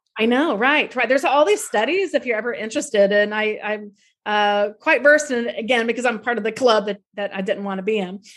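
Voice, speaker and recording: At a fairly quick pace, a woman with an American accent uses an ordinary speaking voice, her fairly high pitch showing ordinary pitch variation. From US South, North Florida (Tallahassee). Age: 50s. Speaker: tour guide and author. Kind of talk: interview testimony.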